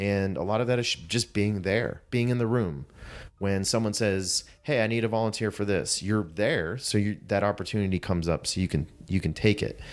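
Speaking with an American accent, a man has an unremarkable speaking voice at fairly low pitch, with ordinary pitch variation, very even loudness and a moderate pace. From Pittsburgh area, US. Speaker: CrossFit coach. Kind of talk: interview.

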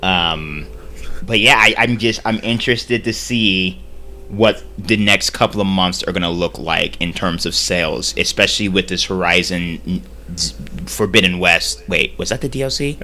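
Over music in the background, a man speaks with a very deep, low pitch and very wide pitch swings. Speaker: podcast host. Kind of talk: casual chat about video games. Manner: rambling, halting.

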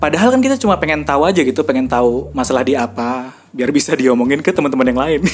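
Fairly high for a man, this voice runs at a very fast pace with hardly any pauses. His pitch variation is ordinary, and noticeable background noise can be heard. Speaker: podcast host and content creator. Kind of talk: casual solo monologue.

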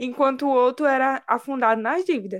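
At a moderate pace, a woman talks in a normal speaking voice whose pitch varies in an ordinary way. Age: 20s. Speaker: podcast co-host. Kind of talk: casual chat.

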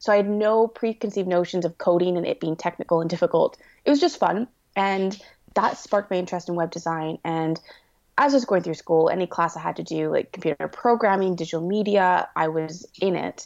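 Against a quiet background, a woman with a Canadian accent talks at a fairly quick pace in a normal speaking voice at medium pitch, with ordinary pitch variation and a dry, close sound with no echo. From Canada. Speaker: web designer and entrepreneur. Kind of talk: interview.

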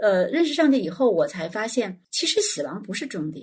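A woman's fairly high, somewhat breathy voice with very wide pitch swings. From China, small county town. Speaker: children's educator. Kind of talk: casual chat.

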